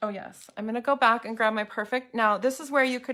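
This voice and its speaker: Her tone bright and sharp, a woman speaks at a fairly high pitch with fairly even intonation. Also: very clean recording, silent background. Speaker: makeup vlogger. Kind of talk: makeup tutorial livestream. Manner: fast; casual, chatty.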